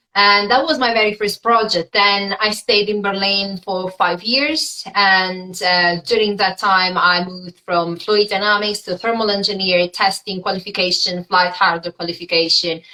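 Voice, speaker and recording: Speaking with an Italian accent, a woman keeps a moderate pace and medium pitch, her intonation fairly even and hardly any pauses in between. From Italy. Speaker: aerospace engineer. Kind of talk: interview. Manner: halting.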